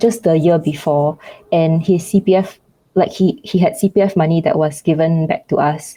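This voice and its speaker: A woman with a Singaporean accent, a fairly low pitch, ordinary pitch variation and a moderate pace. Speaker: YouTuber. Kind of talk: interview. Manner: hesitant, many fillers.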